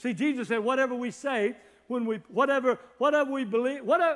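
A man speaks at a fast pace with an extremely high pitch. His tone is fairly bright, and his pitch varies in an ordinary way.

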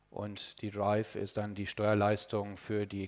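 The speech comes at a fairly slow pace against a quiet background. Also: man. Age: 40s. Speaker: radio engineer and ham radio amateur; conference presenter. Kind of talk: conference talk. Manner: hesitant, many filler sounds. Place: hall. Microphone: podium.

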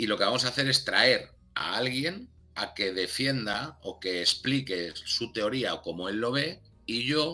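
A man talks with lively intonation. Faint music plays in the background. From Spain, Barcelona; Catalonia, Spain. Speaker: documentary channel creator; interview guest. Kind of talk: casual interview chat. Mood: relaxed, conversational. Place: home room. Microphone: webcam.

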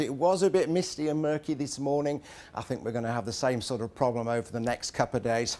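A man with a southern English accent speaks with ordinary pitch variation. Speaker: TV weather presenter. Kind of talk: live TV weather forecast, loosely scripted and chatty. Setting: outdoors. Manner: relaxed and conversational, sprinkling hedges like 'I think' and 'sort of'; jovial and good-humoured, laughing and bantering with the co-presenter. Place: studio. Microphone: lapel.

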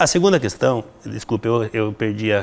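This man has a fairly low pitch. He talks at a moderate pace. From Rio Grande do Sul, Brazil. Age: 50s. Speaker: mayoral candidate and educator; candidate, educator. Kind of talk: interview. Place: classroom.

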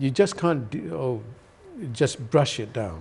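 Very wide pitch swings mark this man's speech in a Sylheti accent. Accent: Bangladeshi (Sylheti) English. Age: 50s. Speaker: TV talk show host. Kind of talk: studio panel discussion. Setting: studio. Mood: earnest, concerned. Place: studio. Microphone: lapel.

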